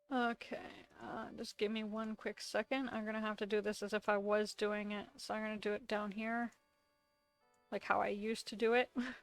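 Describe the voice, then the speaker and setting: With music playing in the background, a woman speaks at a moderate pace in a fairly high pitch and a monotone, flat intonation. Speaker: digital art tutorial creator. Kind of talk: tutorial. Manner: casual.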